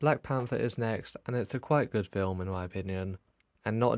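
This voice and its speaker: A man with a normal speaking voice, fairly low pitch, ordinary pitch variation and moderate pace, dry and close with no echo on a very clean recording with a silent background. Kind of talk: casual ranking commentary.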